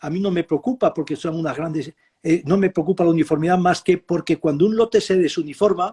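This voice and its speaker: A man with a high pitch and a dark, mellow tone speaks at a fairly quick pace with ordinary pitch variation. The sound is dry and close, with no echo. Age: 70s. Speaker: professor. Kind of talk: interview. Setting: live video stream.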